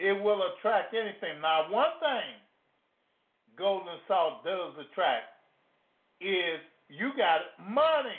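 A man with a high pitch talks at a very slow pace, his pitch swinging very widely between long, frequent pauses. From Louisiana. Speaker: hoodoo practitioner and radio host. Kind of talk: live radio teaching talk. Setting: live radio broadcast, studio.

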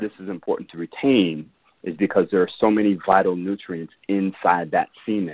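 With fairly even intonation, this man keeps a moderate pace in a very deep, low voice. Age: 40s. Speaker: empowerment coach and tantra teacher. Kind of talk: interview.

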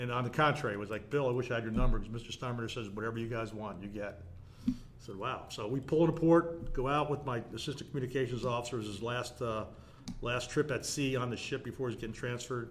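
Speaking very fast in an American accent, a man at medium pitch uses ordinary pitch variation, with audible room echo around him. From New Jersey (South Orange). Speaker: stadium facility manager and lecturer. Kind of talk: casual interview.

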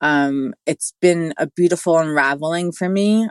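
A woman with a New York accent and a very deep, low pitch is heard in a dry, close sound with no echo. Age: 40s. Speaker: integrative wellness guide. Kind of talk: interview.

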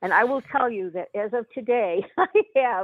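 The delivery moves at a fairly slow pace, with ordinary pitch variation. It is an unremarkable speaking voice. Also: woman. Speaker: radio host. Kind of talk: serious discussion of politics.

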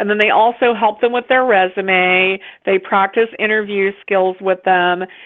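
This is an unremarkable speaking voice from a woman at medium pitch. She speaks at a moderate pace with fairly even intonation. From US, West Virginia. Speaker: author and publisher. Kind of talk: casual interview chat.

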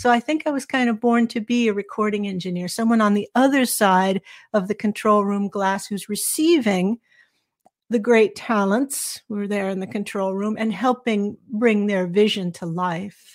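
The speaker has an American accent, ordinary pitch variation and a moderate pace, on a very clean recording with a silent background. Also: woman, medium pitch for a woman. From Southern California. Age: 60s. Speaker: author and former recording engineer. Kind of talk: interview conversation.

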